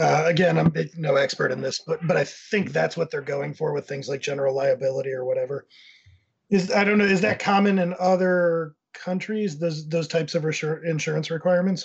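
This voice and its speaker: A man speaks at a fairly high pitch with ordinary pitch variation. He has a plain, everyday voice and a fairly quick pace. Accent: American. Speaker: content agency owner. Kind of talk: casual panel discussion.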